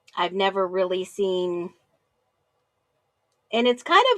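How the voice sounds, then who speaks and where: Heard in a dry, close sound with no echo, a woman speaks with an American accent at a medium pitch. Her tone is bright and sharp, with ordinary pitch variation. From US Northeast, New Jersey area. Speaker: live call-in show host. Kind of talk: casual chat.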